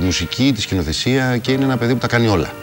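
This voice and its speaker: With music in the background, the speech runs very fast with lively intonation. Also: man. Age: 40s. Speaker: actor. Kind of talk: TV interview. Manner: halting.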